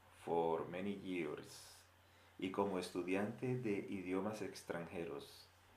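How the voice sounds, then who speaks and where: A man talks at a very slow pace with a very deep, low pitch and fairly even intonation. There is audible room echo. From Colombia. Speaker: Spanish teacher. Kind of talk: language lesson.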